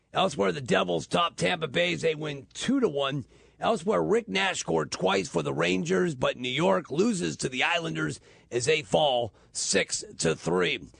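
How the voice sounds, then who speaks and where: Vocal fry in a man's medium-pitched voice, moderate in pace, its pitch swinging very widely. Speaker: radio sports reporter. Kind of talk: radio sports report.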